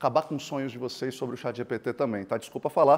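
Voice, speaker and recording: A man speaks at a very fast pace. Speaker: keynote speaker on technology and innovation. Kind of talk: keynote talk. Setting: stage with audience. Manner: animated.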